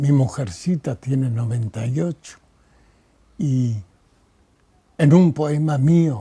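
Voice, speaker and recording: At a very slow pace with long, frequent pauses, a man speaks in a somewhat breathy, dark and mellow voice, fairly high in pitch with lively intonation. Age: 90s. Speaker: poet. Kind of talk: interview.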